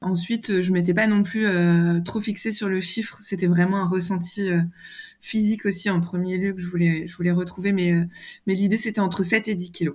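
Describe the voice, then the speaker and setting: Somewhat breathy, a woman talks at a moderate pace. Her delivery stays monotone, with flat intonation. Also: medium pitch for a woman. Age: 30s. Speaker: communications manager, dietary program client. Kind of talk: interview testimony. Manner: hesitant, many fillers.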